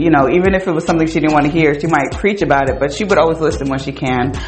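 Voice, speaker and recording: A loud voice with an American accent comes through over noticeable background noise. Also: woman. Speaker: podcast host. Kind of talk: casual chat with a friend. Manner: loud, animated, talkative.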